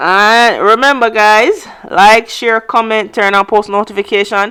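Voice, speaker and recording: A woman's bright, sharp, fairly high voice, monotone and flat, at very even loudness. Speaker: travel vlogger and tour operator. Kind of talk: travel vlog narration. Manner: fast; casual, conversational.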